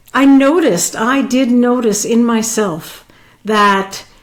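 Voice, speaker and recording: Recorded with audible room echo, a woman talks in a fairly high pitch with ordinary pitch variation. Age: 60s. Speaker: life coach. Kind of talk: personal vlog monologue. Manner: halting.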